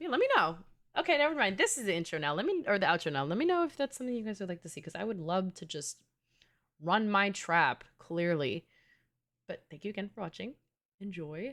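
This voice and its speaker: Talking at a very fast pace with a New York accent, a woman uses a medium-pitched, animated voice with very wide pitch swings and big swings in loudness. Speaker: gaming streamer. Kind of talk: casual live stream chat.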